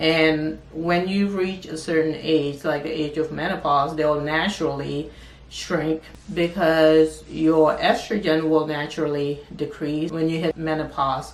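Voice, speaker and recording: Speaking fairly slowly in a monotone, flat way, a woman with a very deep, low pitch is heard over audible room echo and noticeable background noise. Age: 40s. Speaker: lifestyle and wellness youtuber. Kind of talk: personal health vlog.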